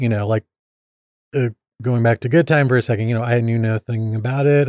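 With a slight Midwestern accent, a man talks at a fairly quick pace in a medium pitch, his tone dark and mellow and his intonation fairly even, recorded dry and close with no echo. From Indiana. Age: 30s. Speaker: podcast guest. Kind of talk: casual chat.

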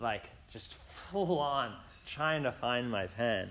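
A man talks at a medium pitch with ordinary pitch variation. He has an unremarkable speaking voice. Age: 20s. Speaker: preacher. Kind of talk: sermon. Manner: casual, with many fillers.

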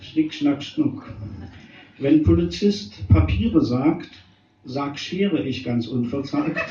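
Very wide pitch swings at a very slow pace, with long, frequent pauses and noticeable background noise. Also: man, fairly high pitch for a man. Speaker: slam poet. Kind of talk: poetry slam performance of short rhymed jokes. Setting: stage with live audience. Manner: playful and wry.

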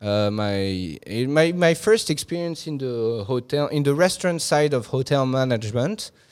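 A man with a French accent and a medium pitch talks at a moderate pace with lively intonation and hardly any pauses, in a very clean recording with a silent background. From Hong Kong, French family. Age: 30s. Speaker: hotel manager. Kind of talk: interview.

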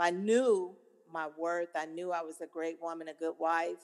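A woman's fairly low voice in an American accent, an ordinary speaking voice at a moderate pace with ordinary pitch variation, on a very clean recording with a silent background. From Seattle area, Washington. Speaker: guest, single woman dating. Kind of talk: casual interview chat.

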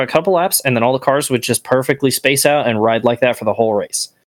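At a fairly quick pace, a man uses a normal speaking voice with a fairly high pitch and ordinary pitch variation, recorded dry and close with no echo. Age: 20s. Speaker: returning podcast guest, racing fan. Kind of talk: casual chat.

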